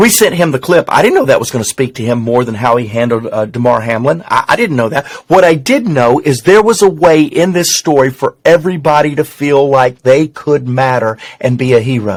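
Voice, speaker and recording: A man with a Southern US accent speaks at a fairly high pitch with lively intonation and hardly any pauses. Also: fairly quick pace. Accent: Southern twang. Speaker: business executive and communicator. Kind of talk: casual interview conversation. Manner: fast.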